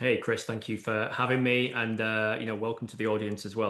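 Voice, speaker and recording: A man speaks very fast with a British accent. His pitch is fairly low and his intonation monotone and flat. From UK. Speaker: AI and automation consultant. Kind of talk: interview podcast. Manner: hesitant, many fillers.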